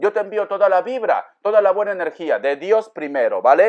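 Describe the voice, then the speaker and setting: A man speaks at a fairly slow pace. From Peru, Áncash (Pomabamba). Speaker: tarot reader. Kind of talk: tarot reading. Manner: animated.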